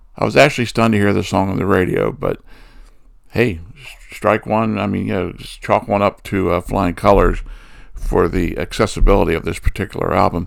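Very clean audio with a silent background and a man talking at a fairly quick pace. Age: 60s. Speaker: music podcast co-host. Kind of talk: casual chat.

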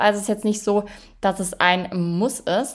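A woman at medium pitch, animated and fairly quick, in a very clean recording with a silent background. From Bavaria (Swabian region). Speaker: online fitness and nutrition coach. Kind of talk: casual vlog narration.

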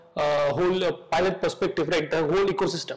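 A man talks at a high pitch with fairly even intonation. Noticeable background noise can be heard. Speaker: podcast host. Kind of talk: podcast interview.

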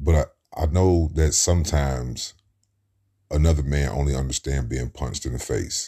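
Somewhat breathy and dark, mellow in tone, the voice carries an American accent and moves at a moderate pace with fairly even intonation. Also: man. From US Midwest, Cincinnati, Ohio. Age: 30s. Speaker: podcaster. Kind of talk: casual monologue.

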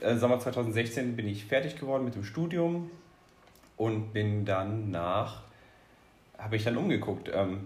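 There is audible room echo around a man's somewhat breathy, medium-pitched voice, which has lively intonation and a moderate pace. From Rhineland-Palatinate, Ahr valley. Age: 20s. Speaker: cheerleader, engineer. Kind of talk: interview.

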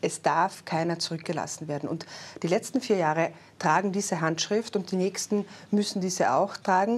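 At a moderate pace, a woman speaks with a medium pitch and ordinary pitch variation in an ordinary speaking voice. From Austria, Carinthia. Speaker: politician, party secretary general. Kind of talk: political interview. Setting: studio.

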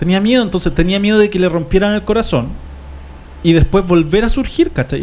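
Noticeable background noise sits behind a man with a Chilean accent. He speaks very fast at a high pitch, with ordinary pitch variation. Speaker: radio host. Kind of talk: casual chat.

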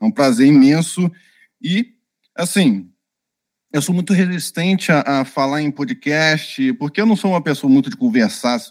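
A man's fairly high voice at a fairly slow pace with very wide pitch swings, in a dry, close sound with no echo on a very clean recording with a silent background. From Brazil, Minas Gerais / Rio de Janeiro. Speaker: UX designer and author. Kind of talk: interview.

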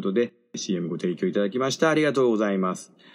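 Pitch rises and falls in very wide swings as a man talks. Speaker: podcast host. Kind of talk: casual solo talk.

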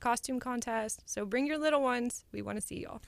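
A woman's fairly high voice, a normal speaking voice, with lively intonation at a moderate pace, on a very clean recording with a silent background. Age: 20s. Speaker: radio guest co-host. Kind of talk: casual chat.

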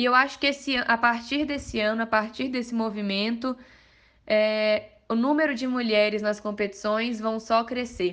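A woman with an unremarkable speaking voice, fairly high in pitch and fairly slow in pace, against a quiet background. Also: fairly even intonation. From Minas Gerais, Brazil (Mariana). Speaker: amateur mountain bike racer. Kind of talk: podcast interview.

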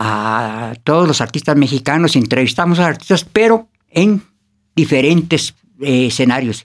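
A man speaks at a moderate pace with lively intonation and a fairly high pitch. He has an ordinary speaking voice. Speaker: artist manager. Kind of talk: casual interview. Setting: studio.

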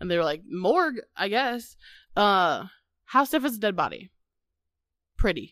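In a very clean recording with a silent background, a woman with a Midwestern US accent speaks fairly slowly at a medium pitch, her animated tone swinging very widely in pitch between long, frequent pauses. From US Midwest. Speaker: podcast host. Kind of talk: casual chat, comedic banter. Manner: animated, jokey.

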